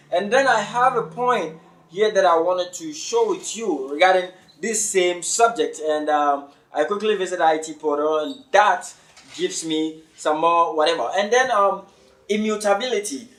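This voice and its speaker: A man talks at a moderate pace in a high pitch, with ordinary pitch variation. Room echo is audible, and background noise is noticeable. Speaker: crypto educator. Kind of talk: lecture. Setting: online webinar.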